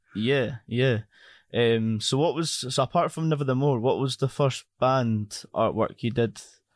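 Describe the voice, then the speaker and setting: Speaking fairly slowly with a Scottish accent, a man keeps a medium pitch, fairly even intonation and very even loudness, in a dry, close sound with no echo. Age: 20s. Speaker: podcast host. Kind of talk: casual interview chat. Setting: video call.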